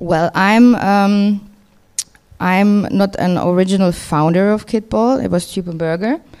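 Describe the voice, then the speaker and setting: A woman with a German accent speaks at a fairly slow pace in a medium-pitched voice. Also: ordinary pitch variation. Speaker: record label co-founder and DJ. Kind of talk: interview.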